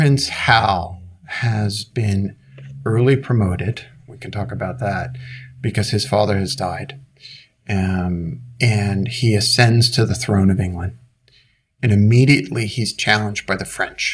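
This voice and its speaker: With an American accent, a man speaks at a fairly slow pace in a fairly low, somewhat breathy voice, his loudness swinging widely. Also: ordinary pitch variation. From US Northeast, Brooklyn, New York. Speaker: leadership author and coach. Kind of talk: interview conversation.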